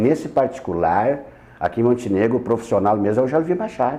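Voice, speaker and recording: A man's dark, mellow voice with lively intonation at a moderate pace. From Rio Grande do Sul, Missões region. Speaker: radio presenter. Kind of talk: interview. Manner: halting.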